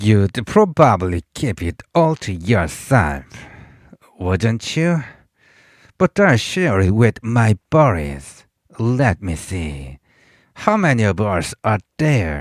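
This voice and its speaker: Using a rumbling put-on character voice, a man speaks very slowly at a fairly low pitch with very wide pitch swings and long, frequent pauses. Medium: read story. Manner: grumbling, coarse.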